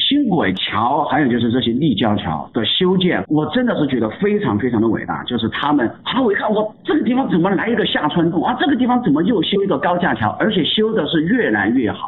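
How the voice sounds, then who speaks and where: Over noticeable background noise, a man with a high pitch talks at a fairly quick pace, his pitch swinging very widely while his loudness stays very even. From Chongqing, China. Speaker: photographer. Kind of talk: casual interview chat.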